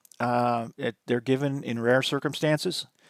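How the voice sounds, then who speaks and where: A man's voice with a dry, close sound and no echo. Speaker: college teacher. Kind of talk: lecture. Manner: fast; halting.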